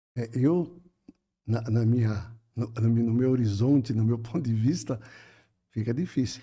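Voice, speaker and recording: A man's somewhat breathy voice with a dark, mellow tone at a fairly slow pace. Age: 70s. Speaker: spiritist speaker. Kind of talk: podcast conversation.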